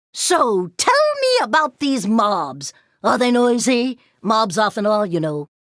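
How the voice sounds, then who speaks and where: A woman performs a cartoonish character voice. She speaks at a fairly slow pace. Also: fairly high pitch for a woman. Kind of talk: video game voice lines. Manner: prim, fussy, curious.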